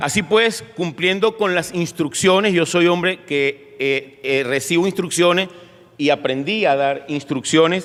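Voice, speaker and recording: Against noticeable background noise, a man talks fairly slowly at a high pitch with ordinary pitch variation. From Venezuela, Caracas. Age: 60s. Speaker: pastor. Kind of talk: sermon. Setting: church. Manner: halting, with frequent fillers.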